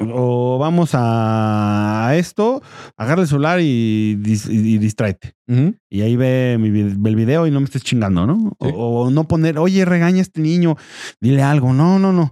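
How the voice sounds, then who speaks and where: Speaking at a fairly slow pace with a Mexican accent, a man uses a medium pitch, lively intonation and a dark, mellow tone at very even loudness, in a very clean recording with a silent background and a dry, close sound with no echo. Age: 30s. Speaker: podcast co-host. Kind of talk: casual chat.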